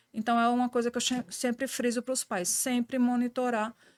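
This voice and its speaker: The speech comes at a moderate pace with a strong northeastern Brazilian accent. The sound is dry and close, with no echo. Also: woman, very clean recording, silent background. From Brazilian Northeast. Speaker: pediatrician. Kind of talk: podcast interview.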